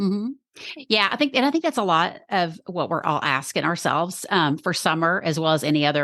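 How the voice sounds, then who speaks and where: The speech moves at a fairly quick pace with lively intonation, recorded dry and close with no echo against a quiet background. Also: woman. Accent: Texas. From Texas. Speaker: podcast strategist. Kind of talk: podcast interview.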